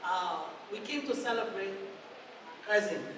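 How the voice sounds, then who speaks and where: The speaker has a Liberian accent. Noticeable background noise runs under the voice. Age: 50s. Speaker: relative of the celebrant. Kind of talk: birthday party speech with blessings.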